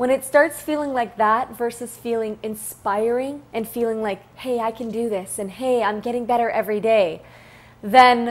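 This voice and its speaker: A woman speaks at a moderate pace in a fairly high voice, her intonation fairly even. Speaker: self-help YouTuber. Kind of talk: motivational talk to camera. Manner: repetitive false starts; conversational.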